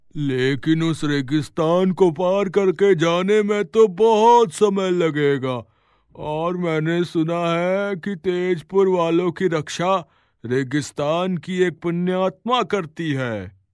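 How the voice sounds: A man's cartoonish character voice, high in pitch and very slow, in a very clean recording with a silent background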